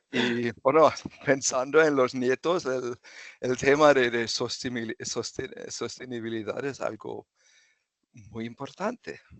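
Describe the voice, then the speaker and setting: Speaking at a fairly slow pace with a German accent, a man keeps a medium pitch and fairly even intonation. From southern Germany (Freiburg). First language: German (speaking Spanish). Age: 60s. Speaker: retired chemical engineer. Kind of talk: interview. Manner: halting.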